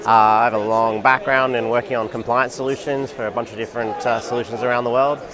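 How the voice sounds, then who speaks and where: A man talks at a very fast pace in an Australian accent. Noticeable background noise runs behind him. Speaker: tech company executive. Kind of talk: interview. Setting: conference booth.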